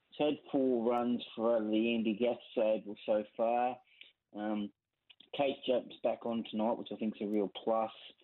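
A man speaks in an unremarkable speaking voice at a medium pitch. His pace is fairly slow and his intonation fairly even. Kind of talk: casual chat.

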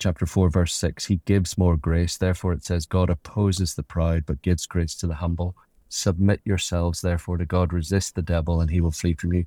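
A man with a very deep, low, somewhat breathy voice speaks in a monotone, flat intonation with hardly any pauses, on a very clean recording with a silent background. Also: fairly quick pace, dry, close sound with no echo. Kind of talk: interview conversation about faith.

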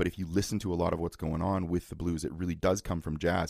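A man's very deep, low voice at a fairly quick pace, with a dry, close sound with no echo and a very clean recording with a silent background. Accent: Canadian. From Ontario, Canada. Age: 40s. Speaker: musician and guitar teacher. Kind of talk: casual chat.

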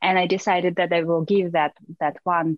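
A woman with a Russian accent speaks fairly slowly at a fairly low pitch. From Russia, small town. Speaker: fashion model. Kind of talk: interview.

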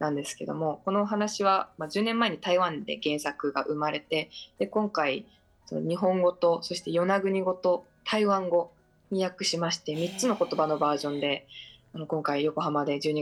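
Music plays behind a woman speaking at a moderate pace. Her voice is fairly low, with ordinary pitch variation. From Yonaguni Island, Okinawa. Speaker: filmmaker and actor. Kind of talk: radio interview. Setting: remote call.

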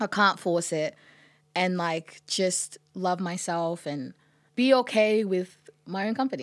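A woman speaks with an Australian accent at a very slow pace. The recording is very clean, with a silent background. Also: medium pitch for a woman, ordinary pitch variation. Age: 20s. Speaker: musician. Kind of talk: casual chat.

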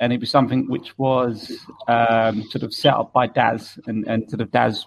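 Speaking at a fairly slow pace, a man talks with a British accent. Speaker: beard club board member. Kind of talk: casual chat. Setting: video call.

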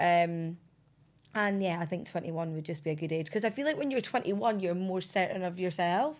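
A woman with a Scottish accent, fairly quick in pace and lively in intonation. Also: medium pitch for a woman, very clean recording, silent background. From Scotland. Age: 20s. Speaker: reality TV personality. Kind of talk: interview.

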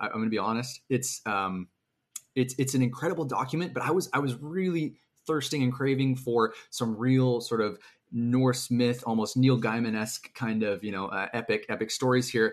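The man talks at a fairly quick pace with a medium pitch and ordinary pitch variation. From Canada. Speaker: fantasy author. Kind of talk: casual interview chat. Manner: halting, many fillers.

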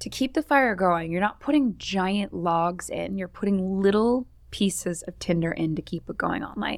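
A woman's ordinary speaking voice at medium pitch, lively intonation, moderate pace with hardly any pauses, on a very clean recording with a silent background. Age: 30s. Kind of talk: casual chat.

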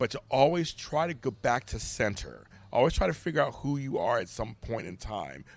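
With vocal fry and lively intonation, a man speaks at a medium pitch. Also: moderate pace. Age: 50s. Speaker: podcaster and life coach. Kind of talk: casual chat. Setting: in person.

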